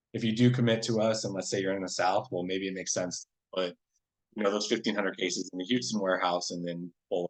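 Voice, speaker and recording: Very fast pace with fairly even intonation. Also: man, fairly low pitch for a man. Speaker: sales representative for a paper products distributor. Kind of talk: webinar product presentation. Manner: halting, many fillers and restarts.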